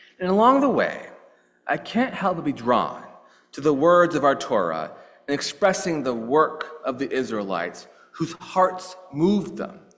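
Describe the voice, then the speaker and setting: A man speaks fairly slowly in a high pitch, swinging very widely up and down. The room echo is audible. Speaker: clergy leading worship service. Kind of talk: sermon.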